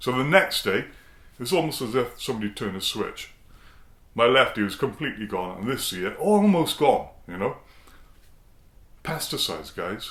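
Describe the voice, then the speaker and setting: A man speaks at a medium pitch, his voice swinging very widely up and down. He leaves long pauses, and leaves them often. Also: moderate pace. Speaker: singing bowl shop owner and video host. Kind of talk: casual vlog talk to camera. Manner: loud; hesitant, repeating words.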